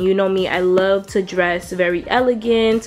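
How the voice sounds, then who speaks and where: A woman speaks at a moderate pace with fairly even intonation. Faint music plays in the background. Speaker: lifestyle vlogger. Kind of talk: casual product review chat. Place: home room.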